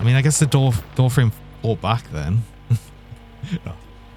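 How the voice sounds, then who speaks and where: A man's voice with ordinary pitch variation, over music in the background. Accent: northern English. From northeast England. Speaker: vtuber game streamer. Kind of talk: live-stream gaming chat. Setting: live stream.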